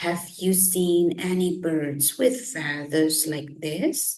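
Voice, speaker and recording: In a put-on character voice, a woman talks at a very slow pace with a fairly low pitch. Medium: read story. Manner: gentle, friendly.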